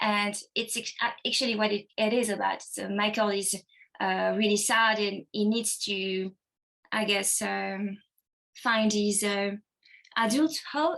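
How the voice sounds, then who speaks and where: Speaking at a fairly slow pace with a non-native accent, a woman uses a medium pitch and fairly even intonation. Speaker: actress. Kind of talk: interview. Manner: halting.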